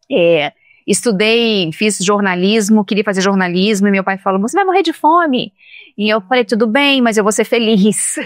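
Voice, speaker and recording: On a very clean recording with a silent background, a woman speaks in a plain, everyday voice at a fairly high pitch. Her intonation is lively, her pace moderate, and her loudness very even. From Brazil, Minas Gerais, raised partly in Espírito Santo. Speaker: journalist and communication consultant. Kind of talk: podcast interview.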